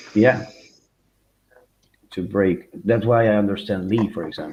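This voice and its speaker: Using a fairly low pitch, a man talks at a fairly slow pace with a non-native accent. His intonation is fairly even. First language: not English. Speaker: comics YouTuber on a panel show. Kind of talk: casual chat.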